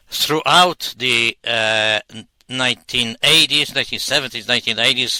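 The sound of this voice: A man's voice at medium pitch, bright and sharp in tone, with ordinary pitch variation, a moderate pace and a dry, close sound with no echo.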